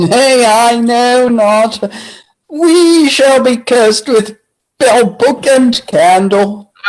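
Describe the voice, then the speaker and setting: In a put-on character voice with a fairly high pitch, the speaker talks at a very slow pace. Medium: stage play.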